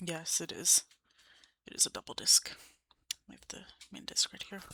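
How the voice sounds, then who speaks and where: A woman is whispering. She has an American accent. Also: dry, close sound with no echo. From Ohio, United States. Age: young. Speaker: college student, ASMR creator. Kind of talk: ASMR, casual talk to camera. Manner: soft-spoken.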